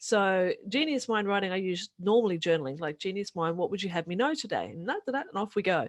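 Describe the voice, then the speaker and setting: A woman's medium-pitched voice at a fairly quick pace, with very wide pitch swings, in a dry, close, echo-free recording over a quiet background. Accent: New Zealand. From New Zealand, rural. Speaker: author and podcaster. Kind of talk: interview. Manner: fast.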